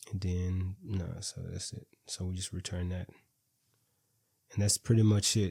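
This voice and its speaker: On a very clean recording with a silent background, a man with a very deep, low pitch talks in a dark, mellow, somewhat breathy tone, his intonation monotone and flat, with long, frequent pauses. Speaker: programming instructor. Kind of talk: tutorial. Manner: halting, with many repeated words.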